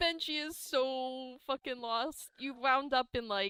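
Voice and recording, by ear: A woman's clear, smooth, fairly bright tone, slow and fairly even in intonation, with a dry, close sound and no echo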